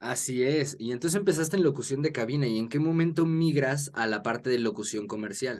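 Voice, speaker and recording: This man has a normal speaking voice at medium pitch with ordinary pitch variation. He talks at a fairly quick pace with hardly any pauses. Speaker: interviewer. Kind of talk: podcast host introduction.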